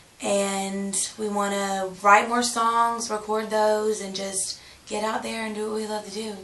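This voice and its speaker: In a Southern US accent, a woman speaks at a fairly slow pace with a fairly high pitch and monotone, flat intonation, amid noticeable background noise and audible room echo. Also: big swings in loudness. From US South, South Carolina and Georgia. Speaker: country singer-songwriter. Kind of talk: interview.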